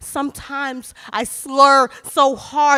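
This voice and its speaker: A woman's raised, projected voice, high in pitch, bright and sharp in tone, with an American accent. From New York, the Bronx. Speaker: spoken word poet. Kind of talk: spoken word poetry performance. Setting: stage with audience.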